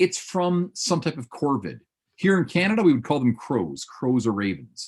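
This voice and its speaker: The voice swings very widely in pitch and has vocal fry. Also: man, fairly high pitch for a man. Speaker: paleontology professor. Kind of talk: lecture. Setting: webinar video call. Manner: fast; animated.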